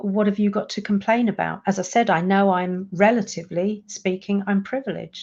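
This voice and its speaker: With a British accent, a woman speaks at medium pitch in a dark, mellow tone, her intonation monotone and flat, against a quiet background. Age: 60s. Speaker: coach for introverts. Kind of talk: live stream monologue.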